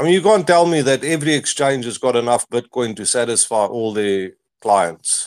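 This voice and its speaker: Speaking at a moderate pace, a man with a South African accent uses lively intonation. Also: medium pitch for a man. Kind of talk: casual chat. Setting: online audio space.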